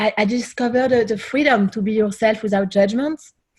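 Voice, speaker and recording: Talking fairly quickly, a woman sounds somewhat breathy and varies her pitch in an ordinary way. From France. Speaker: singer-songwriter. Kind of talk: interview.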